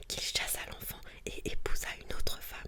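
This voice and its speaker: Whispering in a calm tone, a woman is heard over noticeable background noise. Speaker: ASMR content creator. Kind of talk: whispered book reading for ASMR. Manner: whispered, soft-spoken, calm.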